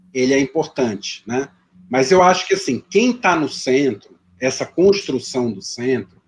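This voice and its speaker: This man's pitch is fairly high. He talks at a fairly slow pace. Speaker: history professor. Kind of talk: lecture Q&A. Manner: hesitant, many repetitions.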